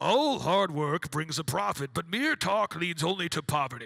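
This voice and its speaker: Using a put-on character voice, a man speaks with a high pitch in a solemn tone. His pace is moderate. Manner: solemn, grand.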